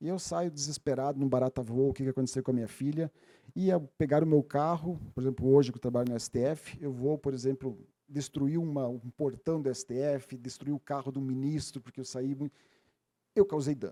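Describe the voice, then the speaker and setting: At a fairly quick pace, a man with a southern Brazilian accent talks at a fairly high pitch in a dark, mellow tone with fairly even intonation, captured in a very clean, dry, close recording with no echo and a silent background. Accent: gaúcho (southern Brazilian). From Rio Grande do Sul, Missões region, southern Brazil. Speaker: legal expert, seminar speaker. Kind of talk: lecture. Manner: halting, with fillers and self-corrections.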